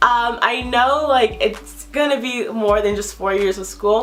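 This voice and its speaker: A fairly high-pitched woman with an American accent, amid noticeable background noise. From US, Nigerian parents. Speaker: YouTuber. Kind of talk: vlog monologue. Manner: fast, jumbles words.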